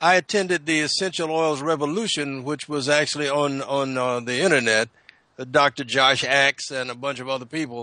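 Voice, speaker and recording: This man has a Southern US accent and a fairly high pitch. His tone is bright and sharp, with ordinary pitch variation. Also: moderate pace. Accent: Southern American. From US South, South Carolina. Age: 70s. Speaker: naturopath. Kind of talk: radio panel discussion. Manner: halting, many repetitions.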